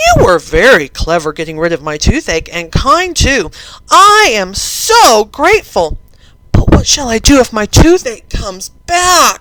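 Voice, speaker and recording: A woman puts on a loud character voice at a fairly high pitch and a fairly slow pace. Her pitch swings very widely. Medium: read story. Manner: loud, bossy.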